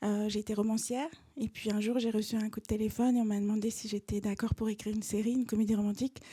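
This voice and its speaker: Her voice fairly high in pitch yet dark and mellow in tone, a woman speaks very fast in a monotone, flat intonation that is somewhat breathy. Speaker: author and screenwriter. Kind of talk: lecture. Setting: stage with audience. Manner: hesitant, many fillers.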